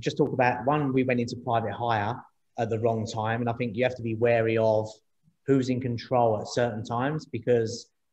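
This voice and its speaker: A man with a London accent speaks at a fairly quick pace in a medium pitch, his somewhat breathy voice flat and monotone. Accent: London accent, noticeable. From East London. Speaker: startup co-founder, former taxi driver. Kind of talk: interview on panel event. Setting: video call. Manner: repetitive, halting.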